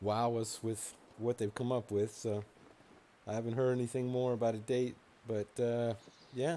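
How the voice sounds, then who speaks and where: Soft-spoken, this man has a dark, mellow tone. His intonation stays fairly even. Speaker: video game streamer. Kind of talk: gameplay commentary. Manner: hesitant, many fillers.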